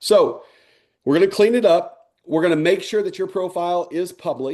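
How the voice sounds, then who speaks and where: The speaker is a man with a dark, mellow tone. He moves at a fairly quick pace. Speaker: network marketing trainer. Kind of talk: online training webinar. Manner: fast; casual, filler-heavy.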